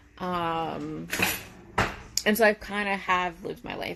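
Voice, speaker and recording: A woman speaks with an American accent in a fairly low voice. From Connecticut, New England. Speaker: reality TV personality. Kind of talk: live stream Q&A. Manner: loud; casual, filler-heavy.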